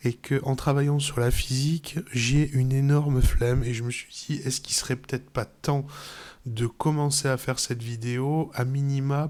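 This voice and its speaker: In a very clean recording with a silent background, a man speaks at a moderate pace and medium pitch in a monotone, flat intonation. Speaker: software tutorial youtuber and game developer. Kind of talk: tutorial. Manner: casual, hesitant with many fillers.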